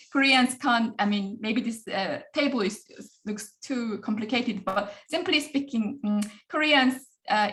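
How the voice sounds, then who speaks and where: Her voice high in pitch, a woman speaks with lively intonation. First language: Korean. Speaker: professor. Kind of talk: lecture. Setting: video call. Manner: fast.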